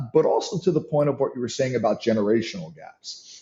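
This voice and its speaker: In a New York accent, a man talks at a medium pitch with ordinary pitch variation. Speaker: leadership and sales coach. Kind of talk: interview.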